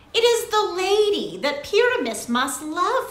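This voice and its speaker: Over a slight echo, a put-on character voice moves at a fairly slow pace with very wide pitch swings. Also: woman, extremely high pitch for a woman. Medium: read story.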